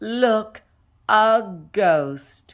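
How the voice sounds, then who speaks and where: In a put-on character voice, a woman speaks at a fairly high pitch. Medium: read story. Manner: dry, deadpan.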